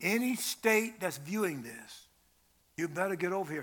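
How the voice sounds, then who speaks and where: Delivered at a fairly quick pace, the voice is raised and projected, with a bright, sharp tone and ordinary pitch variation. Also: man. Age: 70s. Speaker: preacher. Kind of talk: sermon. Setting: church. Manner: animated.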